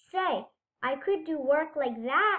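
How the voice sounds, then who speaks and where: A woman's squeaky, put-on character voice, pitched high. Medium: read story.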